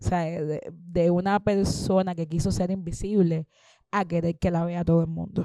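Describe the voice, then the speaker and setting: A woman speaks at a moderate pace in a fairly low, dark, mellow voice with a monotone, flat intonation. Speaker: singer and composer. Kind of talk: Q&A at a public talk. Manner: halting, self-repeating.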